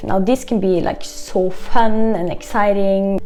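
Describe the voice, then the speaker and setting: Music plays in the background as a woman speaks. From Norway. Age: 20s. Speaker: expat vlogger. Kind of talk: casual talk to camera.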